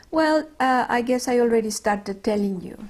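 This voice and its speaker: In a very clean recording with a silent background, a woman with a Mexican accent speaks at a fairly slow pace with lively intonation. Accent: Mexican Spanish accent, noticeable. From Mexico, Mexico City. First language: Spanish. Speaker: retired doctor. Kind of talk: oral history interview. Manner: halting, with many fillers.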